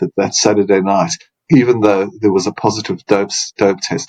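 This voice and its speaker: A man talks at a moderate pace. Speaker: sportswriter. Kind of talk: interview. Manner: talkative.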